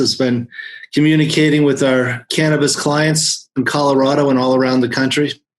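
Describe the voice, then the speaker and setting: A man speaks at a moderate pace with a fairly high pitch. His intonation is monotone and flat. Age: 60s. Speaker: accountant. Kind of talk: interview.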